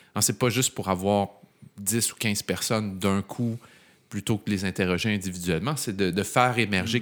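In a very clean recording with a silent background, a man speaks in a normal speaking voice, fairly low in pitch, with fairly even intonation. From Quebec. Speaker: podcast host, teacher. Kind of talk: casual interview.

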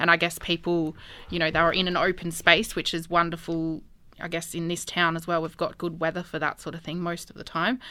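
A woman's fairly low, bright, sharp voice in an Australian accent, monotone and flat at a fairly quick pace, in a very clean recording with a silent background. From Albury, New South Wales, Australia. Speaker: street food business owner. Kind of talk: interview. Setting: studio.

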